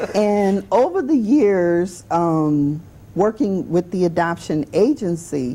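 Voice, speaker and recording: A woman's fairly low, dark and mellow voice in a New Orleans accent, very slow in pace and very even in loudness, with lively intonation. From New Orleans, Louisiana. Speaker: adoption agency director. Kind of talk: interview on a talk show.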